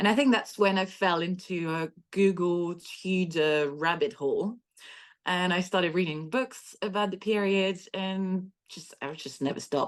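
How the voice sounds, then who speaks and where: A woman with a French accent speaks at a medium pitch with ordinary pitch variation against a quiet background. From France. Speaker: history author. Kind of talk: podcast interview.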